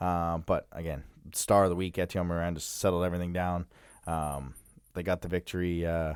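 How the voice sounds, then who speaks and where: This man has a very deep, low voice with monotone, flat intonation. He talks at a fairly quick pace in a very clean recording with a silent background. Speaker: hockey podcast co-host. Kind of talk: casual sports chat. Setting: studio.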